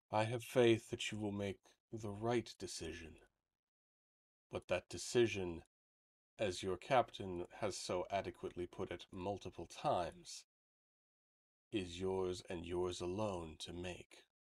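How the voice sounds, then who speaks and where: A man in a put-on character voice with a very deep, low pitch, a fairly slow pace and long, frequent pauses. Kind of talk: fantasy game voicing. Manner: calm, cryptic, solemn.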